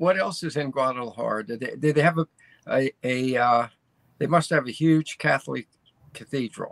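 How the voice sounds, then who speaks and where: In an American accent, a man with an unremarkable speaking voice talks at medium pitch and a moderate pace, with ordinary pitch variation and a dry, close sound with no echo. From US, Baltimore. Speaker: co-host. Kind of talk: casual chat. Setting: video call.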